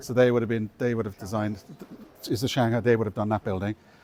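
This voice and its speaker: A man talks with an Irish accent. His pitch sits in the medium range. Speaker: university estates manager giving a campus tour. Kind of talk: guided tour talk. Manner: conversational with frequent fillers and restarts.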